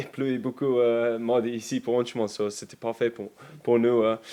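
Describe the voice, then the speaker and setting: A man with an English accent speaks at a fairly slow pace in a dark, mellow tone. His intonation stays monotone and flat. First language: English (speaking French). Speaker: professional rugby player. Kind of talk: press conference. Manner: halting, many hesitations and repetitions.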